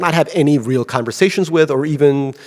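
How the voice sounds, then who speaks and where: This man has a slight Russian accent. His pitch moves in an ordinary way. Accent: slight Russian accent in American English. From Russia (Leningrad). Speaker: novelist. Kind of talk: Q&A at book event. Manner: hesitant, many fillers and restarts.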